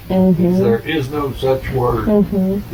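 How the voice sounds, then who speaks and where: There is noticeable background noise as a man speaks at a fairly slow pace. His pitch variation is ordinary. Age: 80s+. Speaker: drag racing legend. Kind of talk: interview answer.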